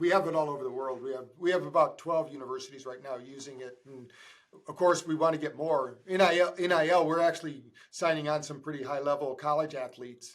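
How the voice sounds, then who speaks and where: This man talks very fast in a fairly high voice. His volume rises and falls sharply. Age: 60s. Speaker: podcast host, doctor. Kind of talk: casual interview chat. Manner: animated, with repetitions.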